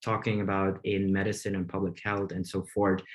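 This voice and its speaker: A man speaks with a Flemish accent. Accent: Belgian Dutch (Flemish) accent in English. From Belgium. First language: Dutch. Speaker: medical researcher and op-ed columnist. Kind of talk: webinar presentation. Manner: hesitant, many fillers.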